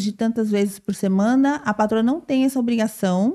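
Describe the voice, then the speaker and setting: Her dark, mellow tone sits at a fairly high pitch for a woman, with ordinary pitch variation. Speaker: podcast host. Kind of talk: casual interview. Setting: live stream. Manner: fast.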